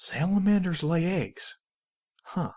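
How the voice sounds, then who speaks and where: In a put-on character voice, a man speaks at a high pitch. The recording is very clean, with a silent background. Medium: read story. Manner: hesitant, guarded.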